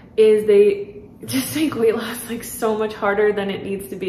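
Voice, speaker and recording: At a fairly quick pace, a woman speaks with audible room echo and light background noise. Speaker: weight loss coach. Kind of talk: casual vlog chat promoting a membership. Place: home room.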